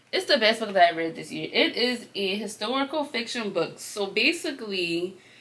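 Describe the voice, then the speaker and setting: A woman speaks in an animated tone with lively intonation and a medium pitch, over noticeable background noise. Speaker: book vlogger. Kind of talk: casual vlog chat. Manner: fast.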